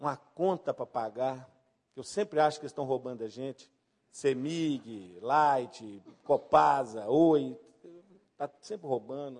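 A man talks at a fairly slow pace in an ordinary speaking voice. His pitch is medium, with ordinary variation. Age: 50s. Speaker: pastor. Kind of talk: sermon.

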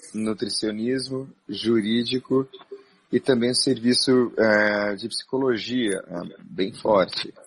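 A man speaks at a very slow pace. His medium-pitched voice keeps a fairly even intonation. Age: 40s. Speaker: Baptist pastor and psychologist. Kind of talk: interview on a live stream.

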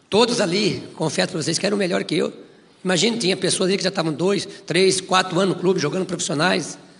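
Over noticeable background noise, a man talks very fast in a high voice with fairly even intonation. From interior of São Paulo state, Brazil. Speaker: former professional footballer. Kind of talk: testimony. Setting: church.

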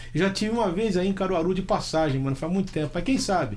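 A man at a very fast pace. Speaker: show host. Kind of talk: casual chat. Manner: animated.

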